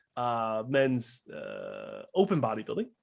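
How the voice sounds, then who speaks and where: The voice has an American accent and ordinary pitch variation. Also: man. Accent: Wisconsin accent, comes back at times. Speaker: bodybuilding podcast co-host. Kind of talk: casual chat.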